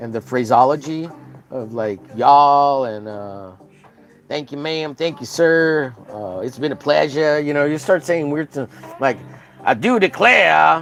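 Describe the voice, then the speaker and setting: A fairly high-pitched man with an American accent, lively intonation, big swings in loudness and a fairly slow pace, over noticeable background noise. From Texas. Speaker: art streamer. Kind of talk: casual live-stream chat. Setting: live stream. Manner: chatty, many fillers.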